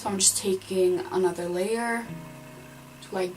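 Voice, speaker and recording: In a non-native accent, a woman with a medium pitch and ordinary pitch variation talks at a moderate pace amid noticeable background noise and audible room echo. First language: not English. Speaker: beauty vlogger. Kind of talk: makeup tutorial. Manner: casual, chatty.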